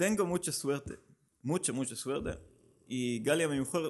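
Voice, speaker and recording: With a Hebrew accent, a man speaks at a fairly slow pace in a fairly high voice, his pitch varying in an ordinary way against a quiet background. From Israel. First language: Hebrew (speaking Spanish). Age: 30s. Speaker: amateur runner, running group organizer. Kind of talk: casual interview. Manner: halting.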